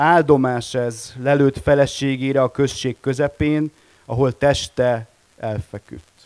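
A man speaks at a very slow pace with fairly even intonation, the sound dry and close with no echo. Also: medium pitch for a man. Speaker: editor-in-chief, publisher. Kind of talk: panel discussion. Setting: stage with audience.

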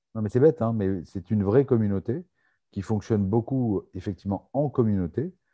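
The pace is very fast. The intonation is lively. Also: man. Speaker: live show host for French expats. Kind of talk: live online Q&A show. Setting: video call livestream.

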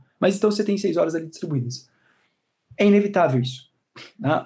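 Vocal fry marks this man's voice. His intonation is lively. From Brazil, São Paulo. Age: 30s. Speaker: law professor. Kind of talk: interview, advice talk.

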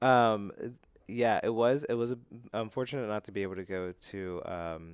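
A man speaks at a moderate pace with ordinary pitch variation. The sound is dry and close with no echo, on a very clean recording with a silent background. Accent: American. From central Pennsylvania (Altoona). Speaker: nonprofit board trustee. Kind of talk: casual interview.

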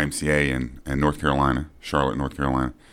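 A man talks at a fairly quick pace with a very deep, low pitch. Vocal fry runs through his voice. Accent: American. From Texas, Fort Worth. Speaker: fitness coach. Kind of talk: casual interview.

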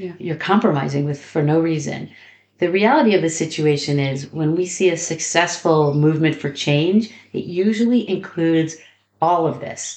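Speaking with an American accent, a woman has a normal speaking voice, fairly low in pitch, with ordinary pitch variation. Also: moderate pace. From US. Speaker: activism trainer. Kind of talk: interview. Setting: recorded during a training program.

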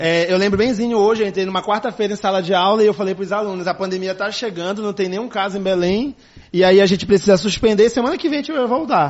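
Talking very fast, the man keeps a high-pitched voice whose pitch varies in an ordinary way. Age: 30s. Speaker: school director and educator. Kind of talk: casual interview.

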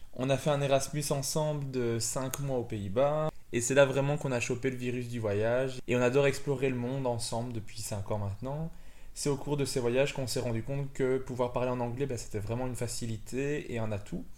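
Over audible room echo, a man of medium pitch talks at a fairly quick pace with fairly even intonation. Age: 20s. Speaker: podcast host, English and Dutch teacher. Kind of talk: casual podcast introduction.

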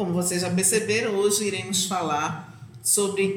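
A woman speaks at a medium pitch. Her voice carries audible room echo, with noticeable background noise. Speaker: librarian podcast host. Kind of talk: podcast interview.

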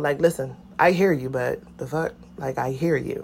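A woman with an American accent speaks in an animated, passionate tone. Her intonation is lively and her pace moderate. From Philadelphia, US. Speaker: podcaster. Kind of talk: casual rant. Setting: outdoors, in a hammock. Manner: animated, passionate, blunt.

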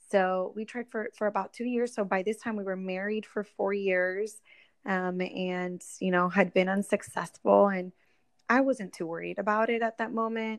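A woman speaks at a medium pitch and a moderate pace in a normal speaking voice, with fairly even intonation. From Florida, Orlando (born in Puerto Rico). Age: 30s. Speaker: entrepreneur. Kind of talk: interview. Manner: frequent filler 'um'.

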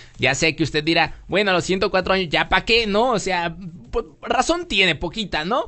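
An animated man at a high pitch, with ordinary pitch variation and a moderate pace. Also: very even loudness. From Mexico. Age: 30s. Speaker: podcast host. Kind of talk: casual chat.

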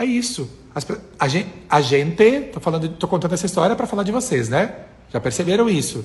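At a very fast pace, a man talks in a high pitch with very wide pitch swings amid noticeable background noise. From interior of Rio Grande do Sul, Brazil. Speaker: communication and voice coach. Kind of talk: Instagram live coaching talk with viewers. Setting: Instagram live stream. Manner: animated, chatty with many fillers.

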